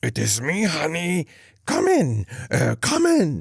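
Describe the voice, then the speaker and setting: A man's soft-spoken, raspy put-on character voice at a fairly slow pace. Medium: read story. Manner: falsely sweet.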